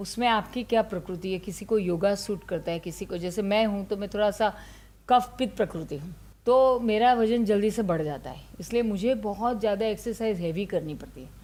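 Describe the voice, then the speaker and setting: Her tone is dark and mellow, and the woman's pitch is medium. She talks at a moderate pace with ordinary pitch variation. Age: 60s. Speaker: ayurveda doctor. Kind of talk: interview. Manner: conversational, Hindi-English code-mixing.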